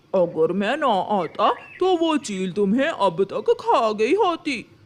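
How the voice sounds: The man's voice is cartoonish, like a character's, and pitched extremely high. His pace is fairly slow.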